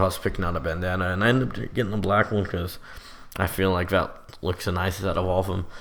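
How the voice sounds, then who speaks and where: Very deep and low in pitch, a man rushes along at a very fast pace with fairly even intonation. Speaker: gaming youtuber. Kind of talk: gameplay commentary. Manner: casual.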